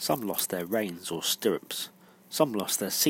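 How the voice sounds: Pitch shifts here in an ordinary way. It comes in a natural reading voice.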